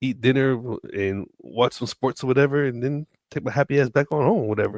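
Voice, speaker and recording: The man has an unremarkable speaking voice at a medium pitch with ordinary pitch variation. The sound is dry and close, without echo. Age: 40s. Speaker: podcast co-host. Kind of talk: casual chat.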